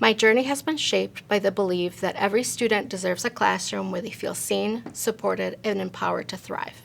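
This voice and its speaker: A woman with a Spanish accent speaks at a fairly quick pace on a very clean recording with a silent background. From Mexico, moved to Minnesota at 12. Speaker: school board candidate. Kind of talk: prepared campaign statement. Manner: formal.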